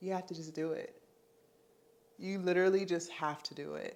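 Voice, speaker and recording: Speech at a fairly quick pace comes through in a very clean recording with a silent background. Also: woman. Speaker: content creation coach. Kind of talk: motivational vlog talk. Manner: animated.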